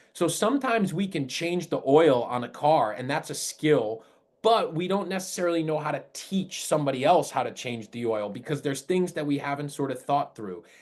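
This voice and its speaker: Hardly pausing, a man with an American accent talks at a fairly quick pace in an animated tone, his fairly high pitch carried by lively intonation. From Rhode Island, US. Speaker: high school entrepreneurship teacher. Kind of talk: webinar presentation.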